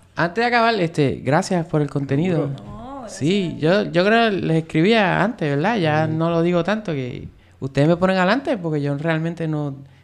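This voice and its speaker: Over noticeable background noise, a man talks at a moderate pace with a high pitch and lively intonation. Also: hardly any pauses. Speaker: YouTube film reviewer. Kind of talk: casual interview.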